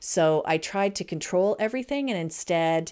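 A woman's voice rises and falls through very wide pitch swings as she talks at a moderate pace. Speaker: podcast host and camp consultant. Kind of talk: casual chat.

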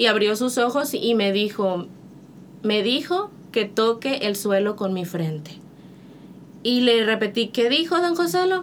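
In an ordinary speaking voice, a woman talks at a fairly slow pace with a fairly high pitch. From Monterrey, Mexico. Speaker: missionary. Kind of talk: testimony.

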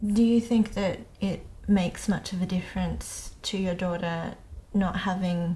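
A woman's somewhat breathy, dark, mellow, medium-pitched voice at a fairly slow pace. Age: 30s. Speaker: podcast host. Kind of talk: interview. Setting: guest's living room.

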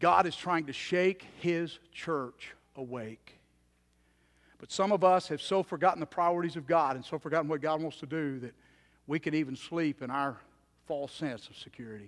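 Against a quiet background, a man with a fairly high voice speaks at a moderate pace, showing ordinary pitch variation and big swings in loudness. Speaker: preacher. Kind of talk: sermon. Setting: church. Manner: earnest, exhorting, direct appeals to the congregation; conversational, with some hesitations and repeats.

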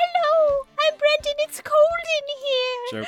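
At a fairly slow pace, a man talks in a put-on character voice. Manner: comedic, shivering.

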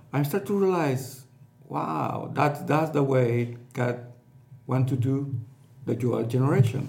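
At a very slow pace and with long, frequent pauses, a man with a Spanish accent speaks at a medium pitch with ordinary pitch variation. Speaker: pastor. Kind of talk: casual chat. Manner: halting.

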